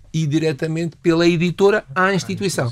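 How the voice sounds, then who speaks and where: This man talks with a high pitch. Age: 60s. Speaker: nutritionist. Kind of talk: interview.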